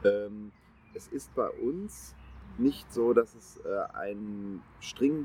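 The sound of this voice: Delivered at a very slow pace, the voice has a dark, mellow tone with a slightly husky edge and ordinary pitch variation. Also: man, fairly low pitch for a man.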